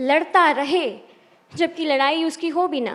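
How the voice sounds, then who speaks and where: A very clean recording with a silent background carries a woman's voice. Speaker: poet. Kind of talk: spoken word poetry performance; talk to audience. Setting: stage with audience.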